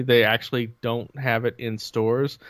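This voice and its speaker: An unremarkable speaking voice from a man with a medium pitch and an American accent, talking at a moderate pace on a very clean recording with a silent background. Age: 40s. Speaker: video game podcast co-host. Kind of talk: casual chat.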